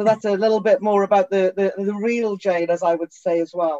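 With a Geordie accent, a woman talks at medium pitch in a dark, mellow tone, recorded with a dry, close sound and no echo. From northern England, Newcastle upon Tyne. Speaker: tech company CEO. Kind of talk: interview.

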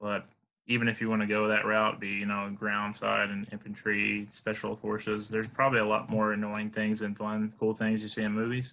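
Speaking at a fairly quick pace with an American accent, a man uses a fairly low pitch, a bright, sharp tone and a monotone, flat intonation. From Alabama, US South. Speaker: Marine Corps veteran; interview guest. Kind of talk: casual interview chat. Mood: relaxed, reflective. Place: home room. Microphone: headset.

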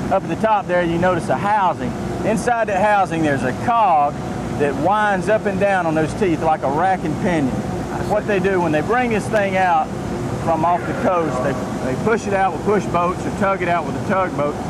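Loud background noise fills the clip, and the sound is dry with no echo. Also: moderate pace. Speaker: fishing guide explaining rig. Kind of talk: interview answer. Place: boat. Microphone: lapel.

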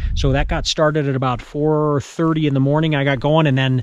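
The recording is dry, with no echo. The speaker is a man. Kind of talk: casual vlog chat. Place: forest. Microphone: phone near.

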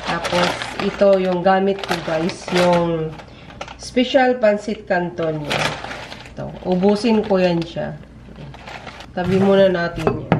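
Amid noticeable background noise, a woman speaks at a very slow pace with long, frequent pauses and ordinary pitch variation. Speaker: home cook vlogger. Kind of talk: casual cooking vlog chat. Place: kitchen. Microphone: camera far.

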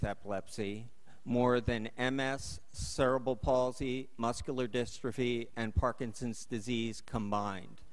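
The speaker here is a man. He talks at a fairly slow pace. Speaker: council member. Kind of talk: formal statement at public meeting. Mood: earnest, personal. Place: hall. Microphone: podium.

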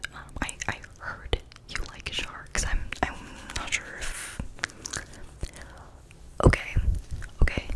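This is a woman. She whispers. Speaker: ASMR creator. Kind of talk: ASMR roleplay, casual talk to camera. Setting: muffled as if through a fishbowl. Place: home room. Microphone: studio mic.

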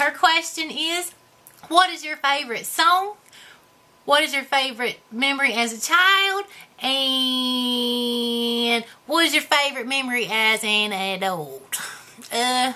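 A put-on character voice with lively intonation, at a fairly slow pace. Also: woman, high pitch for a woman. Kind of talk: character comedy Q&A to camera.

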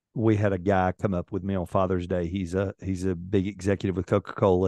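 In a quiet background with dry sound and no echo, a man speaks at a fairly quick pace with hardly any pauses. His very deep, low voice is dark and mellow, with monotone, flat intonation. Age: 50s. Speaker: podcast host. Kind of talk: interview. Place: home room. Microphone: studio mic.

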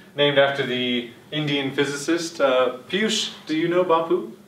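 Audible room echo surrounds a man who keeps a moderate pace, his pitch varying in an ordinary way. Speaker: lecturer. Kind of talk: lecture. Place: classroom. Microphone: camera far.

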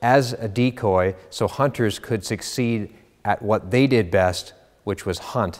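A man talks at a very slow pace, his pitch varying in an ordinary way, with a quiet background behind him. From Canada. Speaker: auctioneer. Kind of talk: auction house promotional presentation to camera. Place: studio. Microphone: lapel.

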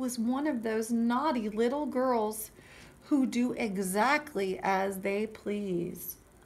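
Pitch varies in an ordinary way throughout this plain reading aloud.

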